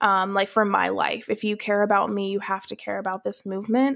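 On a very clean recording with a silent background, a woman at medium pitch speaks fairly quickly in an American accent, with flat, monotone intonation. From US South, Atlanta, Georgia. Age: 20s. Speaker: writer and career coach. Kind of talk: casual chat.

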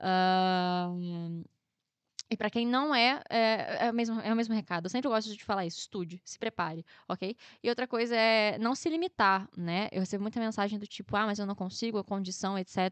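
In a Rio de Janeiro accent, a woman talks at a moderate pace and a fairly high pitch, with ordinary pitch variation. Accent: Carioca Brazilian Portuguese. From Rio de Janeiro, Brazil (Guadalupe). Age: 20s. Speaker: agronomy student. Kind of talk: casual interview.

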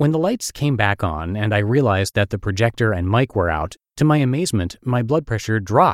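Recorded very clean with a silent background, the sound is dry and close with no echo. A man with a plain, everyday voice speaks fairly low and fairly quickly, his intonation lively. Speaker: podcast host and narrator. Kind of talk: reading aloud.

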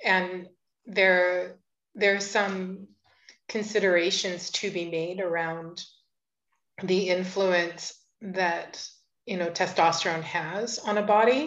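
A woman speaks at a very slow pace with long, frequent pauses and fairly even intonation. The background is quiet. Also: medium pitch for a woman. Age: 50s. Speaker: podcast host. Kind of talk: casual interview conversation.

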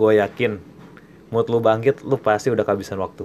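His medium-pitched voice carries an animated tone as this man speaks. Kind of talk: pep talk, solo podcast monologue. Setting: solo podcast. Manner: animated, emphatic, urging listeners with repeated "oke, okay?".

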